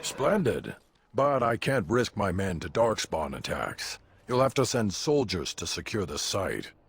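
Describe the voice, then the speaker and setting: A man puts on a character voice, pitched in the middle of his range, and talks at a moderate speed. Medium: video game.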